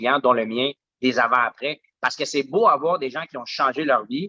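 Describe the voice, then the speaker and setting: At a moderate pace, a man with a fairly high pitch and a bright, sharp tone speaks with ordinary pitch variation in a dry, close sound with no echo. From Quebec (Saint-Eustache area), Colombian parents. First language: Spanish (speaking French). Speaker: smoothie bar owner. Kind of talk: podcast interview. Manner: many fillers and repetitions.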